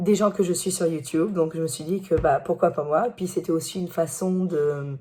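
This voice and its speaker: A woman's fairly low voice at a moderate pace, with fairly even intonation. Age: 40s. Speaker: teacher and YouTuber. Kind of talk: personal vlog monologue. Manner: loud; hesitant fillers.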